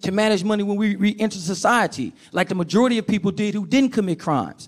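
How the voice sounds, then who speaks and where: Speaking very fast in an animated tone, a man with a high pitch is heard on a very clean recording with a silent background. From Oakland, California. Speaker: financial literacy teacher, formerly incarcerated. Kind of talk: talk to an audience. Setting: stage with audience.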